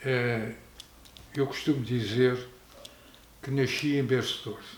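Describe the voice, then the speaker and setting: A man with a Lisbon accent speaks at a medium pitch and a fairly slow pace in a monotone, flat intonation, with audible room echo. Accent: European Portuguese, Lisbon region. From Portugal, Arruda dos Vinhos. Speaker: local elder. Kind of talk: oral history interview.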